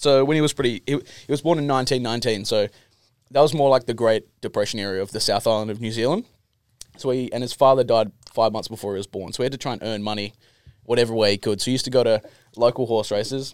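A man with an Australian accent talks at a very fast pace in a medium pitch with ordinary pitch variation. The sound is dry and close, with no echo. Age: 20s. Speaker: distiller. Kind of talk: casual chat.

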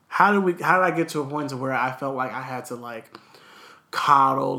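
With an American accent, a man speaks at a moderate pace and a fairly high pitch. His pitch variation is ordinary, and background noise is noticeable. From Southern California (Los Angeles, Inland Empire). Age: 20s. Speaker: podcast co-host. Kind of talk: casual chat.

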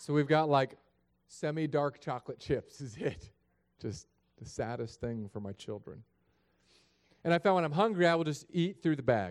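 With an animated tone and lively intonation, a man with a fairly high voice speaks, leaving long, frequent pauses. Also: moderate pace, big swings in loudness. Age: 30s. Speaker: pastor. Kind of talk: sermon.

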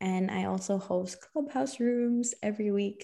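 A woman's dark, mellow tone at a very slow pace. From Philippines. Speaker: manifestation and mindset coach. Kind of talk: casual interview.

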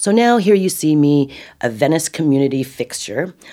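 With a dark, mellow tone and an American accent, the speaker uses lively intonation at a fairly slow pace. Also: woman. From California. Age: 50s. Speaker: cannabis advocate. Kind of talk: interview.

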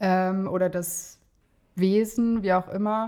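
On a very clean recording with a silent background, a woman at medium pitch speaks very slowly with fairly even intonation. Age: 20s. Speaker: mother in training as an educator. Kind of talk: personal story interview.

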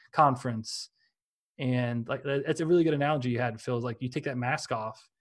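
In a very clean recording with a silent background, a man with a fairly high pitch uses a plain, everyday voice and fairly even intonation. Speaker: podcaster. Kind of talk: casual chat.

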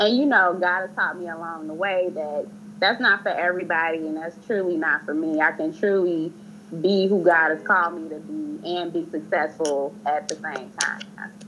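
A woman's fairly low voice at a moderate pace, over noticeable background noise. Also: ordinary pitch variation. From Chicago. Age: 30s. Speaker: research administrator. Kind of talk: casual chat.

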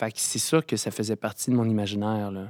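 A man at medium pitch in a dry, close, echo-free sound, very clean recording with a silent background. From rural Quebec. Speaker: actor. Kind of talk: casual chat.

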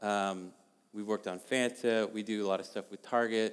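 A man with an ordinary speaking voice, fairly low in pitch, with fairly even intonation. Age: 40s. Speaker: artist and designer. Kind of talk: storytelling talk to a church audience.

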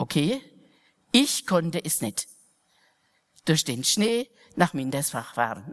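In a dry, close recording with no echo, a woman with a fairly low pitch speaks very slowly, with very wide pitch swings and long, frequent pauses. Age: old. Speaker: mission sister. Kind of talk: sermon.

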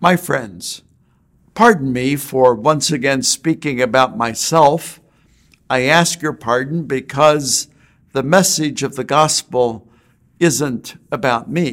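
Ordinary pitch variation marks speech delivered at a very slow pace. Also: man, fairly high pitch for a man. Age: 60s. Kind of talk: short homily. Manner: reflective.

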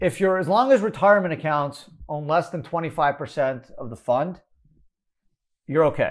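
A man with a fairly high pitch talks at a moderate pace in an ordinary speaking voice, his intonation lively. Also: very clean recording, silent background. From Canada, Montreal. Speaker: tax attorney and podcast host. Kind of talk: solo Q&A podcast explainer. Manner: casual, with many fillers.

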